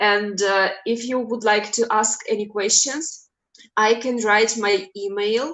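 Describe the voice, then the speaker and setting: A woman with a non-native accent speaks at a very slow pace. Her fairly high pitch follows fairly even intonation. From Russia. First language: Russian. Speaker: clinical psychology professor. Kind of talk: webinar lecture.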